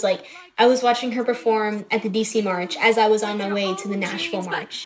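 Over noticeable background noise, a woman with an American accent speaks at a fairly high pitch. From Tennessee, US South. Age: 19. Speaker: poet and student. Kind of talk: casual interview. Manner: light-hearted.

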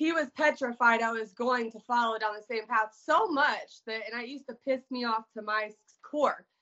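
A woman speaks at a high pitch with fairly even intonation. Her loudness swings widely. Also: moderate pace. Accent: American. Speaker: author sharing recovery story. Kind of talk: personal testimony in interview.

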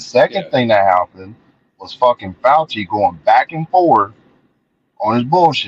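In a dry, close sound with no echo, a man with an American accent talks at a moderate pace. He leaves long, frequent pauses, and his loudness swings widely. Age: 40s. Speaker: social media commentator. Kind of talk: casual interview conversation. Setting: online call.

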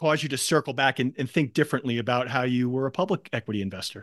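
A man at a very fast pace with ordinary pitch variation, the sound dry and close with no echo against a quiet background. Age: 50s. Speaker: podcast host and equity investor. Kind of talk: interview.

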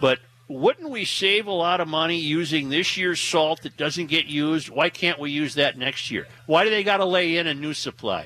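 Using a normal speaking voice, a man with an American accent talks at a moderate pace with hardly any pauses, his fairly high pitch showing ordinary variation. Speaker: radio talk show host. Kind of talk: casual talk radio banter. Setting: live remote broadcast from a store with audience.

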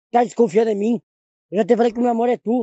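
Putting on a character voice, a man speaks softly at a very fast pace and an extremely high pitch. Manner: soft, sweet, pleading.

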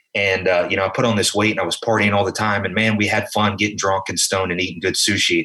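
A man speaks very fast with a slight Southern US accent. His pitch sits fairly low. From South Carolina. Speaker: podcast co-host. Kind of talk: casual chat.

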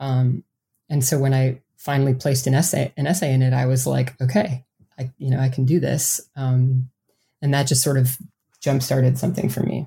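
In an American accent, the speaker talks at a moderate pace with a dark, mellow, somewhat breathy tone and very even loudness. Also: woman, very deep, low pitch for a woman. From US Midwest, south central Wisconsin. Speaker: author. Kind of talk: interview. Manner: hesitant, frequent um fillers.

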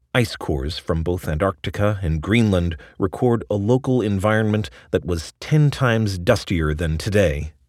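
A normal speaking voice with lively intonation, a moderate pace, and hardly any pauses, in a very clean recording with a silent background. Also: man, fairly low pitch for a man. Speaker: narrator reading an article aloud. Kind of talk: dramatic narration of a long-form science essay, read aloud. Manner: vivid, ominous storytelling cadence.

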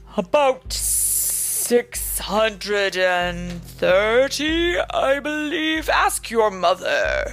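A woman speaks in a put-on character voice at a very slow pace. Clear music plays in the background. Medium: read story. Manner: grave, impatient.

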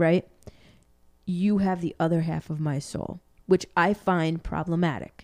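With fairly even intonation and a fairly low pitch, a woman speaks at a fairly slow pace, leaving long, frequent pauses. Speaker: podcast co-host. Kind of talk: casual chat. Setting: home, evening recording.

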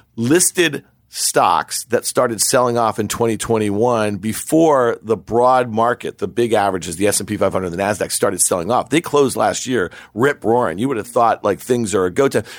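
A normal speaking voice moves at a fairly quick pace with ordinary pitch variation, on a very clean recording with a silent background. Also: man. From New York. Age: 40s. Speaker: podcast host, market commentator. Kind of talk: casual interview chat.

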